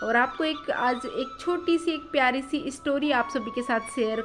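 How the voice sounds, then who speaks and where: A woman speaks at a high pitch with lively intonation. Music plays in the background. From eastern Rajasthan, India. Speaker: housewife vlogger. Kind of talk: casual talk to camera.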